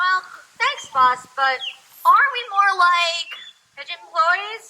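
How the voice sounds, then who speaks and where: A cartoonish character voice, extremely high in pitch, at a fairly slow pace. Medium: puppet show. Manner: dopey, slangy.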